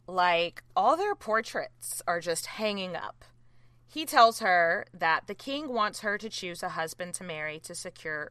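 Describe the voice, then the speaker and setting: A woman with an American accent speaks at a fairly slow pace in a bright, sharp tone. Her intonation is lively, and her loudness swings widely. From US South. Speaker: podcast host filling in. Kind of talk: reading a written recap aloud. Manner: animated.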